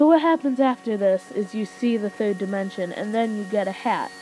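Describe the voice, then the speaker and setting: Noticeable background noise runs under the recording. The woman speaking has a medium pitch and ordinary pitch variation. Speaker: gaming youtuber. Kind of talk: game review commentary. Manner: halting.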